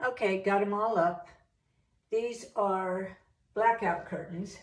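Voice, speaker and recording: The speech moves at a very slow pace with fairly even intonation and audible room echo. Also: woman. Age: 70s. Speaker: home decor DIY vlogger. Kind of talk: tutorial. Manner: casual, conversational.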